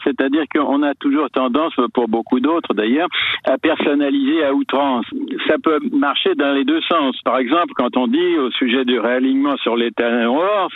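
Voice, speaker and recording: At a fairly slow pace, a man speaks with fairly high pitch and ordinary pitch variation over noticeable background noise. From France. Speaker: historian. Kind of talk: interview. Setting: phone call.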